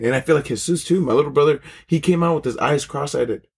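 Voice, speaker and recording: A fairly high-pitched man with an American accent, somewhat breathy, very fast, with ordinary pitch variation, in a very clean recording with a silent background. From San Diego, California. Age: 20s. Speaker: podcast host. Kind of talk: casual chat.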